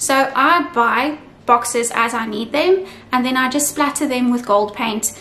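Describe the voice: Over faint background noise, a woman talks at a high pitch with ordinary pitch variation and a fairly bright tone.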